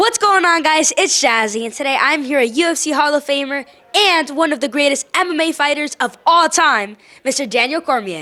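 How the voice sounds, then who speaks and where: A woman's high, raised and projected voice with lively intonation, very even loudness and a moderate pace. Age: young. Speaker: interviewer. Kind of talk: interview.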